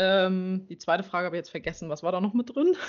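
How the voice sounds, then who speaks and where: The speaking voice is unremarkable. Its pitch variation is ordinary. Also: woman. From Mecklenburg-Vorpommern, near Schwerin. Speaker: riding instructor. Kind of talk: interview.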